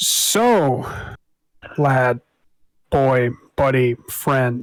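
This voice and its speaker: This man puts on a character voice. It sits at a medium pitch. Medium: actual play.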